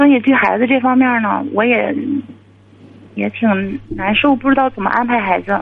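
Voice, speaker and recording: A fairly high-pitched woman at a moderate pace, fairly even intonation, long and frequent pauses, and noticeable background noise. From Inner Mongolia. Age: 40s. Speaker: caller. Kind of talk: advice call-in.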